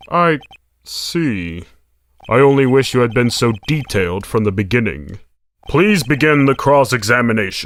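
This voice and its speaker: Putting on a character voice, a man speaks at a medium pitch with lively intonation. His pace is moderate and his loudness stays very even. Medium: fan dub. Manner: formal, hesitant.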